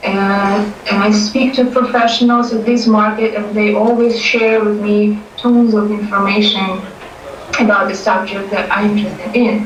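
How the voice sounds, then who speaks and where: Noticeable background noise and audible room echo surround a woman speaking at a moderate pace. Her pitch is fairly high and her intonation monotone and flat. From Ukraine. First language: not English (English is third). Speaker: real estate trainee. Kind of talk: testimony.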